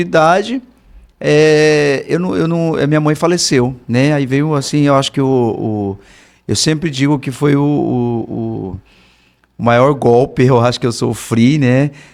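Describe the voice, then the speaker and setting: Here a man speaks with a fairly high pitch and lively intonation. His pace is fairly slow. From Brazil, Rondônia (Ariquemes). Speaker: political candidate. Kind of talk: interview storytelling. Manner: halting, many fillers.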